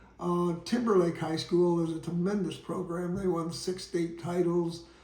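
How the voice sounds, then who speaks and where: There is audible room echo around the voice. A man with a high pitch talks at a moderate pace. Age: 80s+. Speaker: retired basketball coach telling his life story. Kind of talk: memoir storytelling. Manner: halting, with fillers.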